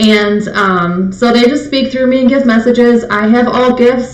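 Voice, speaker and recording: A woman speaks with fairly even intonation amid noticeable background noise and audible room echo. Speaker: psychic medium. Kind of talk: live stream spirit messages. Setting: live video stream. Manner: fast. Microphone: webcam mic, slight echo.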